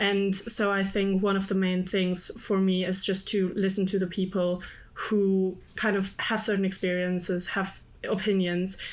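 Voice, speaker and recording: Medium pitch and a German accent from a woman, fairly slow, with monotone, flat intonation, very even loudness and audible room echo. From Germany. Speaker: student union candidate. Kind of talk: panel interview.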